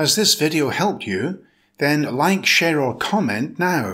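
A man with a fairly high, bright, sharp voice and vocal fry speaks at a fairly slow pace, his pitch swinging very widely while his loudness stays very even, on a very clean recording with a silent background. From Britain. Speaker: English teacher, pronunciation instructor. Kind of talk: English pronunciation lesson.

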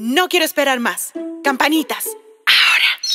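A woman with a warm tone raises and projects her voice at a fairly slow pace, her pitch swinging very widely. Clear music plays in the background, and the sound is dry with no echo. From Colombia. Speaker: children's storyteller; voice actor. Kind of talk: read-aloud children's story. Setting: studio. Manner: warm, friendly. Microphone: phone near.

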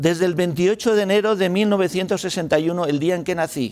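Over a quiet background, a man with a high pitch talks at a very slow pace. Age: 60s. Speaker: mining and renewables industry panelist; panelist. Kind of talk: panel discussion. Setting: hybrid event room with audience. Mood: informal, joking at times. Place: studio. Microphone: lapel.

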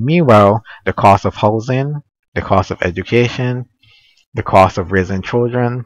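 At a fairly slow pace, a man talks with ordinary pitch variation in a dry, close recording with no echo. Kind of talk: casual unscripted monologue. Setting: home recording, poor audio.

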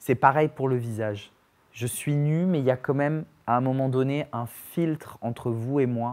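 This man has an ordinary speaking voice. His pitch sits in the medium range, with fairly even intonation. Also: fairly slow pace. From Perpignan, southern France; France. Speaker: actor, dancer and playwright; actor. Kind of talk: casual interview chat. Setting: studio. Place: studio. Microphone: lapel.

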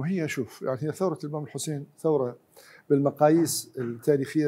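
A man's dark, mellow voice at a moderate pace with ordinary pitch variation. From Iraq. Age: 60s. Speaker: historian. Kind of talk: heated debate. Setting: studio. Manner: animated. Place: studio. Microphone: lapel.

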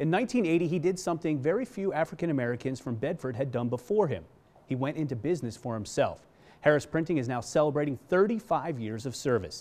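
Very fast speech comes from a man whose intonation is lively. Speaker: TV news feature reporter. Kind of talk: TV news feature narration. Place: studio.

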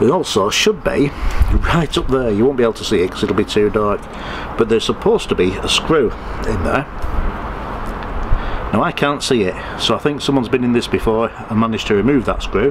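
There is noticeable background noise as a man talks at a fairly quick pace. His pitch varies in an ordinary way. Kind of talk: tutorial. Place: street.

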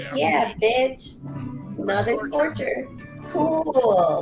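A woman talks very slowly while clear music plays in the background. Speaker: streamer host. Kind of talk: casual comedic talk to camera. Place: home room. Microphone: studio mic.

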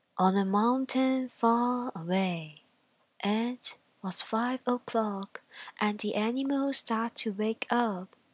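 In a gentle, soothing tone, a woman speaks at a very slow pace with a fairly high pitch and ordinary pitch variation, in a dry, close sound with no echo. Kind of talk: bedtime story, scripted narration read aloud. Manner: slow, gentle, soothing storytelling pace.

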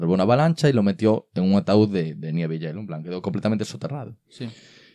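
A man with a fairly low pitch talks at a very fast pace with lively intonation. The background is quiet. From Galicia, Spain. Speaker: comedy podcast host. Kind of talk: casual chat. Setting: studio. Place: studio. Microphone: studio mic.

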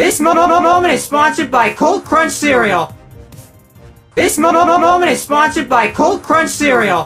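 Faint music plays behind a put-on character voice with a robotic, processed sound. Its tone is bright and sharp, the intonation lively, and the pace fairly slow. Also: man, extremely high pitch for a man.

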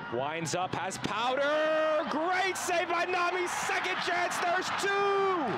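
A man projects his voice at an extremely high pitch over loud background noise. His pace is very slow, with ordinary pitch variation and hardly any pauses. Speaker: sports broadcaster. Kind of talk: live sports play-by-play commentary. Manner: clipped, vivid play-by-play delivery. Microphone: headset.

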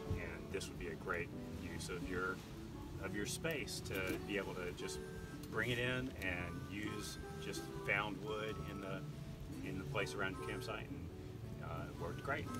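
A man talks at a moderate pace with long, frequent pauses. Loud music plays in the background. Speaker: camping vlogger. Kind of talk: casual vlog chat. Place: open country.

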